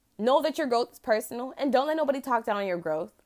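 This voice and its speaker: High and animated, a woman's voice moves through very wide pitch swings. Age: 20s. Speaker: podcast host and cosmetics brand owner. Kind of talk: casual solo monologue.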